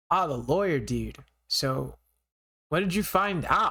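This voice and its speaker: A man puts on a raspy character voice, high-pitched and at a fairly slow pace. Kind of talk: casual surfer slang.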